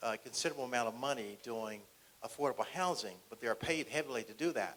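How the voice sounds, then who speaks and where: This man has a medium pitch and ordinary pitch variation. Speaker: county housing department official. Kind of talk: public forum panel remarks. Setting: community forum at senior center. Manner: fast.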